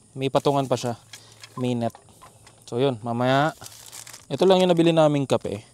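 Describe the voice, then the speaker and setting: A man speaks at a fairly quick pace with a fairly high pitch. His tone is dark and mellow, with ordinary pitch variation. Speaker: motovlogger. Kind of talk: casual vlog narration. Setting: outdoors at a campsite. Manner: softer voice to not wake others.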